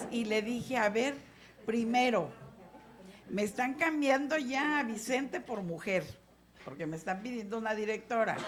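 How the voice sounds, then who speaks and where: Noticeable noise sits behind speech that goes fairly slowly, its pitch varying in an ordinary way. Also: woman. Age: 60s. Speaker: legislator. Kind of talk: legislative meeting remarks.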